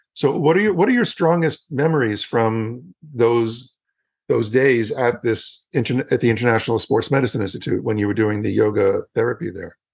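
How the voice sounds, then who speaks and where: This is a plain, everyday voice. A man of medium pitch talks at a moderate pace with lively intonation. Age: 60s. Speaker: yoga educator and podcast host. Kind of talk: promotional outro; interview.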